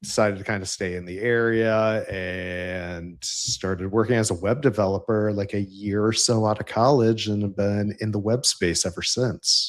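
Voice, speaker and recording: A man with a fairly low pitch and a slight Central New York accent speaks at a fairly slow pace. His pitch varies in an ordinary way on a very clean recording with a silent background. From upstate New York. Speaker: engineering leader in tech. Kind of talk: casual interview chat.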